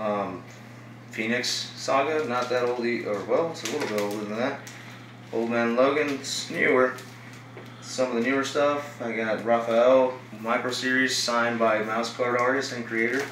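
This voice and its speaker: A man at a moderate pace with fairly even intonation, plus audible room echo and light background noise. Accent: American. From Texas, Dallas. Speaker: toy figure collector. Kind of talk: casual show-and-tell video. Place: home room.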